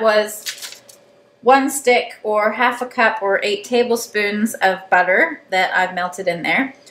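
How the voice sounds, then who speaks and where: Noticeable background noise sits behind a woman's voice. She speaks at a fairly slow pace with ordinary pitch variation. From Canada. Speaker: cooking video host. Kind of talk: tutorial. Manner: casual.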